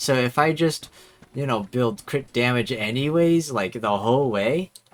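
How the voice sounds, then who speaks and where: At a fairly slow pace, a man with a medium pitch and an ordinary speaking voice talks with ordinary pitch variation. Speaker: gaming streamer. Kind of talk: live gameplay commentary. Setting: live stream.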